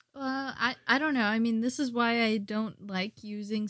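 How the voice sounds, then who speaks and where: A woman with an unremarkable speaking voice talks at a moderate pace, her fairly high pitch showing ordinary pitch variation. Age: 20s. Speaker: host's wife, podcast guest. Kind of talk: casual chat.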